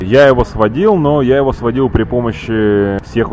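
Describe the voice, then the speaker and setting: A man is speaking, his pitch varying in an ordinary way. Music can be heard behind him. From Ukraine, Kyiv. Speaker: metal band frontman. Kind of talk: casual interview. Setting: microbrewery bar in Tel Aviv. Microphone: old media player recording, poor quality.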